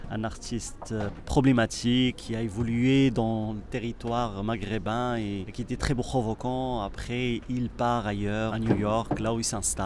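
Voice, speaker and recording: At a fairly slow pace with hardly any pauses, a man speaks at a medium pitch with monotone, flat intonation. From Morocco. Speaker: artist and choreographer. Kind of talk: interview. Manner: halting.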